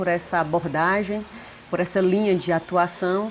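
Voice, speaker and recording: A woman with a strong northeastern Brazilian accent at a moderate pace, in a very clean recording with a silent background. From Brazil, Northeast (Fortaleza). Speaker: psychologist, family therapist. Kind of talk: interview.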